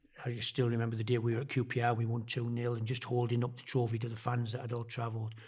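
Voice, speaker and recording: Very fast with hardly any pauses, a man speaks in a monotone, flat intonation, somewhat breathy, with audible room echo. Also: medium pitch for a man. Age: 60s. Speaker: former football manager. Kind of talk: podcast interview. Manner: hesitant with fillers.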